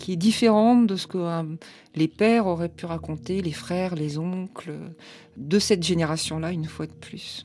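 This woman's dark, mellow tone comes at a moderate tempo. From France. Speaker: literature professor and author. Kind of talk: radio interview.

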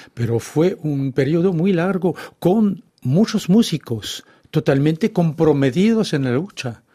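A man speaks at a very slow pace in a fairly high pitch. His tone is dark and mellow, and his intonation is lively. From France, Brittany. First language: French (speaking Spanish). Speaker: author. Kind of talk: radio interview.

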